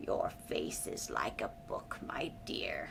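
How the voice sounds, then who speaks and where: Whispering in a put-on character voice at a very slow pace, the speaker is heard over loud background noise. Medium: read story. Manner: warm, knowing.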